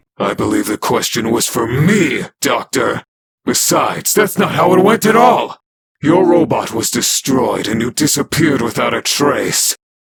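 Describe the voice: A man uses a put-on character voice that is raspy and fairly high-pitched. He talks at a moderate pace.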